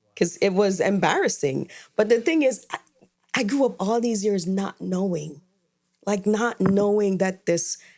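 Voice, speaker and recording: Speaking with an Antiguan accent, a woman talks at a fairly slow pace with medium pitch and ordinary pitch variation. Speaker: podcast co-host. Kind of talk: casual chat.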